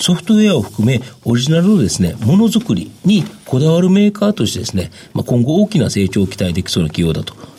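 A man at a medium pitch and a very fast pace, with very wide pitch swings and noticeable background noise. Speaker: stock market analyst. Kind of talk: radio interview. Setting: studio.

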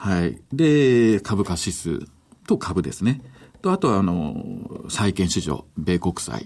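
This man talks very slowly at a fairly low pitch, his voice moving through very wide pitch swings. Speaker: interpreter and trading educator. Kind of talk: consecutive interpretation in radio interview.

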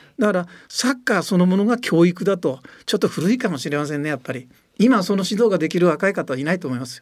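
Lively in intonation and high in pitch, a man speaks at a very fast pace. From Tochigi, Japan. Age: 80s+. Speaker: football coach. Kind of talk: interview.

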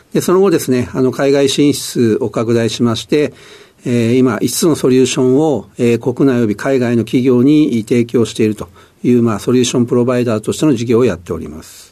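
A man speaks at a fairly quick pace. His voice sits at a medium pitch with ordinary pitch variation. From Tokyo, Sumida (shitamachi). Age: 60s. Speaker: company president and founder. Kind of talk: interview. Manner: halting, frequent fillers.

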